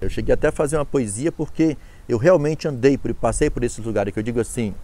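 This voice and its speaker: The man's voice is fairly high in pitch and dark and mellow in tone, moving at a fairly quick pace in a dry sound with no echo. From Ceará, Brazil (rural Quixadá); Ceará, Brazil. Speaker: cordel poet and author; cordel poet. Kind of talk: interview testimony. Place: garden. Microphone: lapel.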